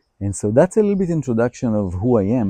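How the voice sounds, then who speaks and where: The sound is dry and close with no echo, over a quiet background. The voice has a dark, mellow tone, very wide pitch swings and an Israeli accent. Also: man. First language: Hebrew. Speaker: holistic healer. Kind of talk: personal introduction monologue.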